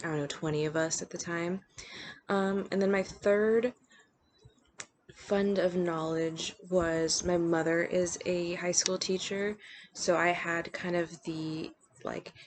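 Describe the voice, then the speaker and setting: Her pitch fairly low, a woman speaks at a very slow pace in a monotone, flat intonation with long, frequent pauses. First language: bilingual Spanish and English. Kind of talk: personal reflection. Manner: hesitant, many fillers.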